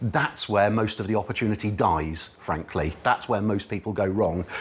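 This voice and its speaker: Someone with an Oxfordshire accent speaks at a fairly quick pace. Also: man. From Oxfordshire, England. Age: 40s. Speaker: business networking speaker. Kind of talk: talk to a live audience. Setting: meeting room with audience.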